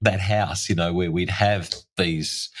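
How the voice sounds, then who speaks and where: A man with an Australian accent at a moderate pace, on a very clean recording with a silent background. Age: 60s. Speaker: tunnel rescue expert and barrister. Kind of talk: interview conversation. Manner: animated.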